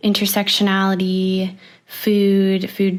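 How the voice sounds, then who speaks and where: With a Canadian accent, a woman at a medium pitch talks at a fairly slow pace over noticeable background noise. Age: 20s. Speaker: university student and program participant. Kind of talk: podcast interview.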